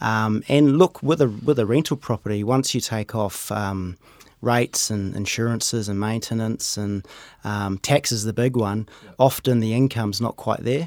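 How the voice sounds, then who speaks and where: The recording is dry and close with no echo as a man talks at a moderate pace, medium pitch and ordinary pitch variation. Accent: New Zealand. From New Zealand, Rotorua. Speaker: wealth manager. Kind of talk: casual interview. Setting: studio.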